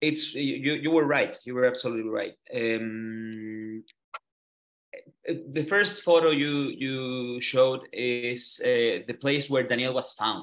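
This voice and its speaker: A man with a Chilean Spanish accent, very slow pace. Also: medium pitch for a man, ordinary pitch variation. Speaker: human rights lawyer and activist. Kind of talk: online interview. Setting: video call from a hotel room. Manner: halting, many fillers and repeats.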